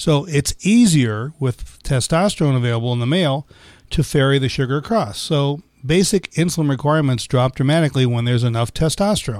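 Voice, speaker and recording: A plain, everyday voice from a man with a fairly high pitch, lively intonation, very even loudness and a fairly quick pace, in a very clean recording with a silent background. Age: 60s. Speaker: physician and gynecologist. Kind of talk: health podcast discussion.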